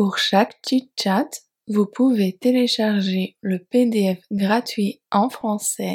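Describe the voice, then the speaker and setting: Speaking at a very slow pace, a woman with a somewhat breathy, fairly high voice keeps her intonation fairly even in a dry, close sound with no echo. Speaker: French teacher podcaster. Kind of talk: slow scripted narration for learners. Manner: clear articulation.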